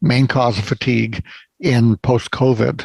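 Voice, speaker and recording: With vocal fry at a medium pitch, a man talks in a dry, close sound with no echo. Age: 70s. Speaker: physician and author. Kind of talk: interview. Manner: frequent fillers (uh, um).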